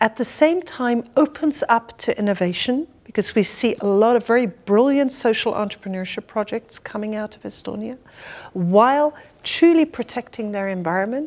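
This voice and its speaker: Lively intonation marks a woman speaking at a moderate pace. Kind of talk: interview answer. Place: home room.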